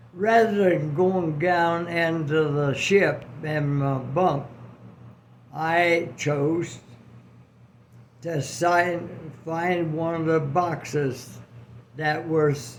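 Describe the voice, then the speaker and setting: Very slow, with long, frequent pauses, the speech plays out against noticeable background noise. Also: man, fairly high pitch for a man. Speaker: World War II veteran. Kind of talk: personal war memory told to family. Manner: slow, hesitant.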